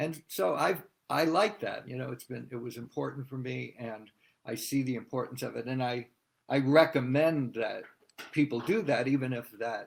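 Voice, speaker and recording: A man with an American accent and an ordinary speaking voice talks at a moderate pace and medium pitch, with ordinary pitch variation. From US Northeast, Massachusetts. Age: 60s. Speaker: drummer. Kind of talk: interview.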